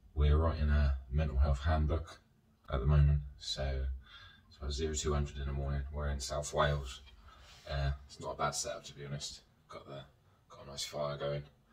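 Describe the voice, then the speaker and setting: With audible room echo around him, a man talks fairly quickly in a very deep, low, monotone voice with flat intonation. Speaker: vlogger. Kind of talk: casual vlog chat. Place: home room.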